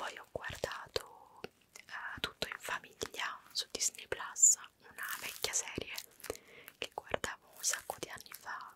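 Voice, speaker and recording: Whispering in an intense tone at a very slow pace, the voice has big swings in loudness and long, frequent pauses, with dry sound with no echo and light background noise. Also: woman. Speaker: ASMR creator. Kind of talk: casual vlog chat. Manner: intense close-mic whisper.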